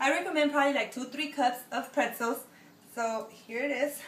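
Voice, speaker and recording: At a moderate pace, a high-pitched woman speaks amid noticeable background noise and audible room echo. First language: Spanish. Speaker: home cook, video creator. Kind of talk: cooking tutorial. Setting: home kitchen. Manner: casual, hesitant with fillers.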